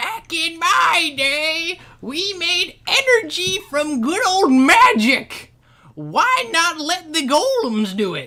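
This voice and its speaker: A put-on character voice, shrill and extremely high, at a very slow pace. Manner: grumbling, nostalgic.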